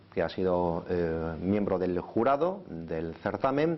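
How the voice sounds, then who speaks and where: The pace is very slow. The intonation is lively. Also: man. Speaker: TV magazine presenter. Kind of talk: TV news introduction.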